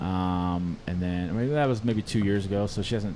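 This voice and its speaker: In a Californian accent, a man with a very deep, low voice talks at a fairly quick pace. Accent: Californian American English. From Southern California, LA / Orange County. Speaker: music producer and sound engineer. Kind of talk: casual chat.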